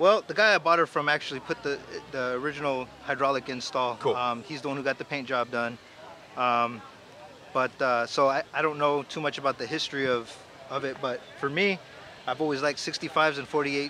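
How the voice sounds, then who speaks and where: With light background noise and a dry sound with no echo, the speech runs at a fairly quick pace with ordinary pitch variation. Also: man. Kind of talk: interview answer. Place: street. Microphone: handheld.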